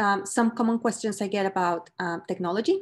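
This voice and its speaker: Someone with a Mexican accent speaks with ordinary pitch variation over a quiet background. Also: woman. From Mexico. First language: Spanish. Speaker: professor. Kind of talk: lecture. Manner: hesitant, many fillers.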